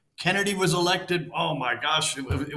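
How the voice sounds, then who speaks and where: Fairly quick speech with audible echo from the room. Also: man. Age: 70s. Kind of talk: interview conversation. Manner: animated.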